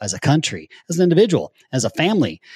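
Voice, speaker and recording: In a dry, close sound with no echo, a somewhat breathy man with an American accent swings his pitch very widely. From US, nomadic childhood (Japan, Germany, Florida). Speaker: business coach and company founder. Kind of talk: casual interview. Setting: video call. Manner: animated.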